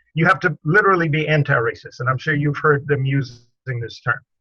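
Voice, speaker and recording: Music plays in the background as a man speaks at a fairly quick pace. His pitch is fairly high, with ordinary variation. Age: 70s. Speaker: guest. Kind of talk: casual conversation. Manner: animated.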